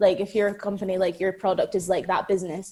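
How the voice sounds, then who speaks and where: A woman with an Aberdeen accent on a very clean recording against a silent background. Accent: Aberdonian Scottish, drops T's. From Scotland, Aberdeen. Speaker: actress. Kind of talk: podcast interview. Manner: casual, many fillers like 'like'.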